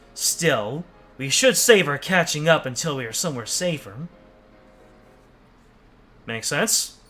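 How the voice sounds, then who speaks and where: Over music in the background, a man puts on a robotic character voice, fairly high in pitch, speaking at a fairly slow pace with big swings in loudness and long, frequent pauses. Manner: regal, robotic.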